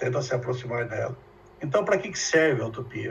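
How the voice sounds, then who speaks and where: Room echo can be heard around a man as he talks. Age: 70s. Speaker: professor. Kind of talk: lecture.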